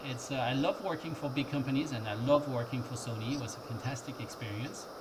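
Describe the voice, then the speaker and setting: The recording has noticeable background noise and audible room echo. A man speaks at a fairly high pitch with fairly even intonation. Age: 50s. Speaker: tech entrepreneur. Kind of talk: interview. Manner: halting, many fillers.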